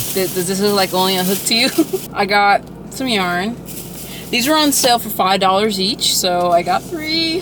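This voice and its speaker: Noticeable background noise sits behind a voice with lively intonation and a moderate pace. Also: woman, medium pitch for a woman. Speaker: artist and vlogger. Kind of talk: casual vlog. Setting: in a craft store.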